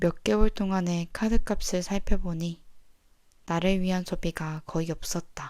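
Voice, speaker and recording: Calm in tone, a woman with a dark, mellow tone and fairly low pitch speaks at a very slow pace with fairly even intonation. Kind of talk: sleep audiobook reading. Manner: soft-spoken, calm.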